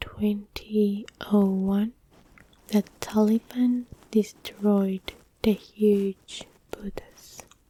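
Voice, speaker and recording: Someone soft-spoken whispers at a very slow pace, leaving long, frequent pauses. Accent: non-native. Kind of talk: ASMR fact reading, soft spoken. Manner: soft-spoken, whispered.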